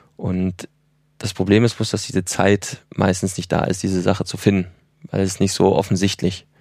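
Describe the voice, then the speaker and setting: At a moderate pace, a man talks with a very deep, low pitch and a flat, monotone intonation. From Germany, Ruhr area. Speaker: film director and producer. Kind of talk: interview.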